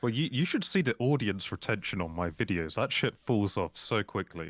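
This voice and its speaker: Fairly low in pitch, a man with a slight RP British accent talks at a moderate pace on a very clean recording with a silent background. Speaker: YouTuber. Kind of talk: casual chat.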